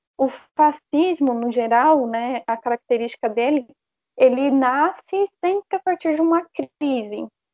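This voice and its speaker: A woman speaks at a high pitch. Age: 20s. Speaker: historian and teacher. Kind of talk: panel discussion.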